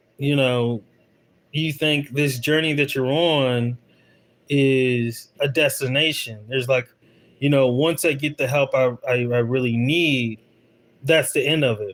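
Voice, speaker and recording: A man talks at a fairly slow pace with fairly even intonation and long, frequent pauses. The recording is very clean, with a silent background. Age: 30s. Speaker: vlogger. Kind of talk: casual livestream chat. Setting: livestream. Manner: hesitant, repetitive.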